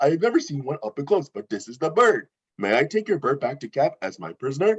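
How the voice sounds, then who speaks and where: A man does a put-on character voice at a fairly high pitch, rattling along at a very fast pace. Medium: stage play. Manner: earnest, eager, naive.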